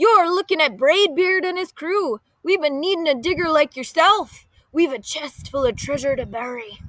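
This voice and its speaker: A loud, high-pitched put-on character voice. It moves along at a moderate pace. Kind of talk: storybook pirate speech. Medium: read story. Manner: loud, blustery.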